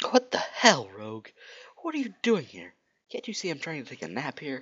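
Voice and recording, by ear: Using a put-on character voice, a man speaks at a fairly high pitch with very wide pitch swings. His tone is fairly bright with a slightly husky edge. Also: moderate pace.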